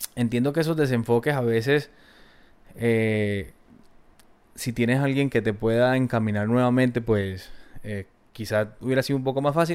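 The speaker is a man at medium pitch. His intonation is fairly even. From Colombia, Valle del Cauca. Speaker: guest sharing life story. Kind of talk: interview. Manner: halting, repeated words.

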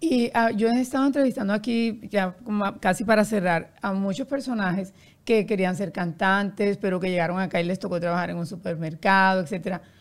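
A woman with an unremarkable speaking voice, medium pitch, ordinary pitch variation and a moderate pace. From Colombia, Barranquilla. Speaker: podcast host and publicist. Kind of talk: interview.

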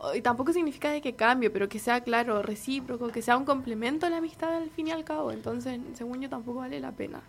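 A woman with a Chilean accent, high-pitched, at a very fast pace with hardly any pauses and ordinary pitch variation. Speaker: friend of the host. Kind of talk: casual chat.

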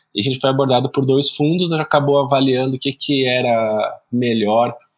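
Using an ordinary speaking voice, a man talks at a fairly quick pace with fairly even intonation. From Brazil, interior of São Paulo state (Araraquara). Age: 30s. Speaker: startup founder and CEO. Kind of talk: podcast interview.

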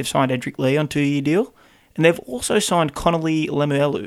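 With an Australian accent, a man talks in fairly even intonation. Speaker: sports podcast co-host. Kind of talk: casual chat.

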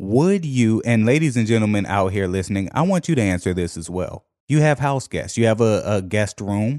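An American-accented man with a fairly low pitch talks at a moderate pace in an animated tone with lively intonation and hardly any pauses, against a quiet background. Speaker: podcast host. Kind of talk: casual comedic banter. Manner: animated, joking.

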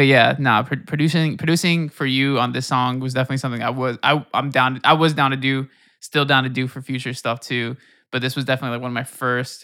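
In a very clean recording with a silent background, a man speaks very fast with a bright, sharp tone and monotone, flat intonation. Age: 20s. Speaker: music producer. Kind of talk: casual chat.

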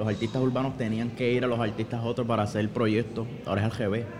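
With audible room echo and noticeable background noise, a man at medium pitch speaks at a moderate pace. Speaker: pastor and musician. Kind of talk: casual chat. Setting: pizzeria. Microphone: far from the mic.

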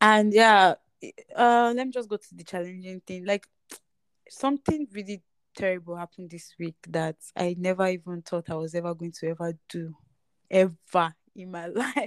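A woman with a Nigerian accent talks at a moderate pace, at a medium pitch with ordinary pitch variation. Her loudness swings a lot, and the sound is dry and close with no echo. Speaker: podcast host. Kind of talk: casual chat. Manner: casual, chatty.

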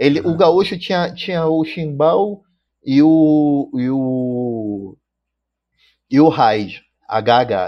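A man's fairly high voice, very slow, with lively intonation and long, frequent pauses. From Manaus, Amazonas, Brazil. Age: 30s. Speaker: drummer. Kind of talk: casual chat. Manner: halting, many repetitions.

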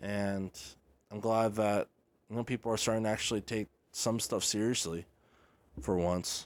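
Long, frequent pauses break up speech delivered at a moderate pace with fairly even intonation, in a very clean recording with a silent background. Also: man, fairly low pitch for a man. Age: 20s. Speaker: sports podcast host. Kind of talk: solo sports commentary podcast. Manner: casual, filler-heavy.

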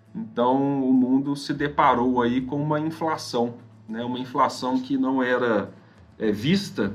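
There's audible room echo around this man's voice. He talks at a medium pitch, varying it in an ordinary way. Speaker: financial advisor. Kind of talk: podcast interview.

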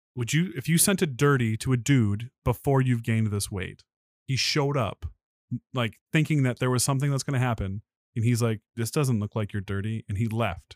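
Recorded very cleanly against a silent background, with a dry, close sound and no echo, a man's unremarkable speaking voice sits at medium pitch with ordinary variation. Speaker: podcast co-host. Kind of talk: casual chat.

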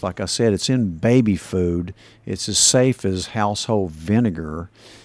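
In a very clean recording with a silent background, a man speaks with an East Tennessee accent. His fairly low voice shows ordinary pitch variation. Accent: Southern US (East Tennessee). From US South, Tennessee (Kingsport). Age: 60s. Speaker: physician. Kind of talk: interview.

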